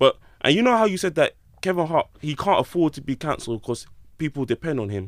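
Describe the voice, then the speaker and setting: A man's fairly high voice at a very fast pace, very wide pitch swings, in a very clean, dry, close recording with a silent background and no echo. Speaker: podcast host. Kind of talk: casual chat. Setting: studio.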